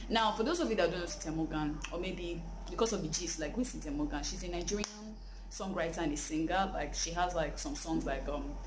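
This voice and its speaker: Someone speaks at a fairly quick pace with noticeable background noise. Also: woman. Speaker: entertainment gossip vlogger. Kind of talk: casual vlog chat. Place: home room.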